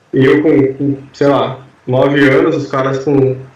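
Audible room echo hangs around a man as he talks. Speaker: podcast co-host. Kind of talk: casual chat.

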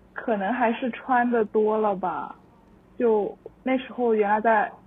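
With fairly even intonation, a woman speaks very slowly at a fairly high pitch. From Changzhou, Jiangsu, eastern China. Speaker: guest. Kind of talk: casual chat. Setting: remote recording.

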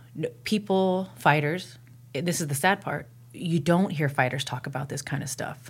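A woman's very deep, low, somewhat breathy voice at a moderate pace, with ordinary pitch variation. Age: 30s. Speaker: mixed martial artist. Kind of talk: casual chat. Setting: studio.

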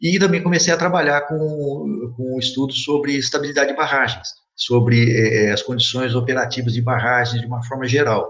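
Audible room echo and noticeable background noise around a voice of ordinary pitch variation. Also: man, medium pitch for a man, moderate pace. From Brazil, interior of São Paulo state (Mococa). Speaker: civil engineering professor. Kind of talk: interview. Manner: halting, with frequent repetitions; emphatic.

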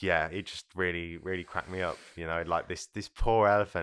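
Against a very clean, silent background, a man with an English accent and a very deep, low voice speaks at a fairly quick pace with fairly even intonation. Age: 20s. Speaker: psychology student. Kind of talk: casual chat.

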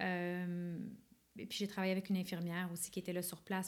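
A woman's medium-pitched voice in a Quebec accent at a very fast pace. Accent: Québécois French. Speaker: film director and actress. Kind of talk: interview. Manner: casual.

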